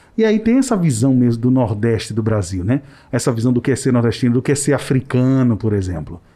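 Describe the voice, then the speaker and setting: A man's medium-pitched voice with a dark, mellow tone and ordinary pitch variation, at a fairly quick pace and very even loudness. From Maceió, Alagoas, Northeast Brazil. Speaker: podcast host. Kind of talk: casual panel discussion. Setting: studio.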